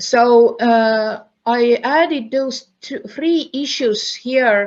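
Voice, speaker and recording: Her pitch is fairly high, and the woman's voice shows ordinary pitch variation. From Estonia. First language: Estonian. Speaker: university professor. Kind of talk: conference lecture. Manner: halting, many fillers.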